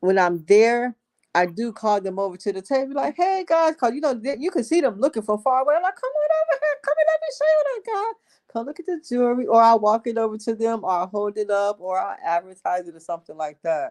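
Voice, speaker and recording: Someone speaks at a very fast pace over music in the background. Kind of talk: casual chat.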